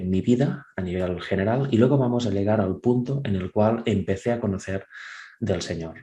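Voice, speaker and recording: With a Catalan accent, a man speaks at a fairly low pitch and fairly slow pace in a dark, mellow tone with ordinary pitch variation. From Catalonia, Spain (Vic). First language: Catalan (speaking Spanish). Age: 30s. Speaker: churchgoer giving testimony. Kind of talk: testimony.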